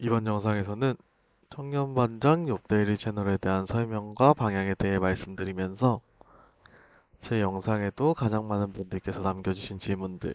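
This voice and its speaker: A man's voice sits fairly low in pitch as he talks at a moderate pace. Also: ordinary pitch variation. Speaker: YouTuber political commentator. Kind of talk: direct-to-camera monologue.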